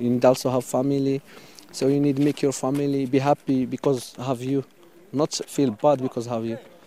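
A man's medium-pitched voice in a Moroccan accent, monotone and flat, at a moderate pace amid noticeable background noise. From Western Sahara, Morocco. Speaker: migrant. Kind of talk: interview. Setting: outdoors. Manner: halting.

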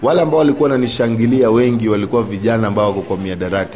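Over noticeable background noise, a man talks at a very fast pace with a medium pitch. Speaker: community group chairman, former gang member. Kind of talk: interview testimony.

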